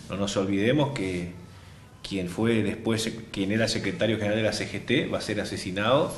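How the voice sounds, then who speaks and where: A man talks at a fairly low pitch and moderate pace. Audible room echo surrounds his voice. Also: ordinary pitch variation. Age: 60s. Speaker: politician. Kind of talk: interview. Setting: office.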